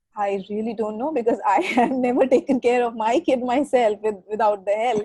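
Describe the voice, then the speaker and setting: Speaking at a moderate pace, a woman talks with an Indian accent. The sound is dry and close, with no echo. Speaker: digital marketing executive. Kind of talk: casual chat.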